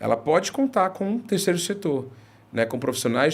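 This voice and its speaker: A man speaks with lively intonation. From Recife, northeastern Brazil. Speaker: head of institutional relations at a social nonprofit. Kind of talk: interview conversation. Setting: videocast studio. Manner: hesitant, many fillers.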